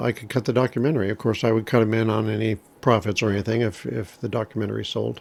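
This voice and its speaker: A man with an ordinary speaking voice and a fairly low pitch talks at a fairly quick pace. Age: 60s. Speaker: camera operator and documentary filmmaker. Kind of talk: personal storytelling to camera. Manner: conversational, with many fillers.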